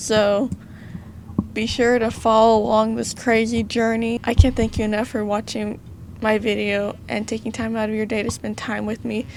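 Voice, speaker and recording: With an American accent, a woman speaks in a fairly high, monotone, flat voice. Noticeable background noise is present. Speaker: gaming youtuber. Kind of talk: gameplay commentary with reading aloud. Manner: casual, chatty.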